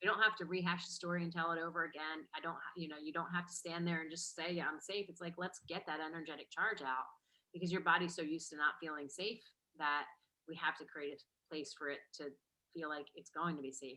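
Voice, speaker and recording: With an American accent, a woman talks fairly quickly at a fairly low pitch in a bright, sharp tone, keeping fairly even intonation but showing big swings in loudness. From New Jersey. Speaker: business and mindset coach. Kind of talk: online workshop talk.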